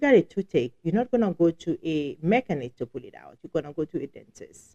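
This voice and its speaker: Speaking at a very fast pace with a strong Haitian accent, this voice has a dark, mellow tone, big swings in loudness and very wide pitch swings, all in a dry, close sound with no echo. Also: woman, fairly low pitch for a woman. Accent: heavy Haitian. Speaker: podcast co-host, law office staff. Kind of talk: casual live podcast talk. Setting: live show.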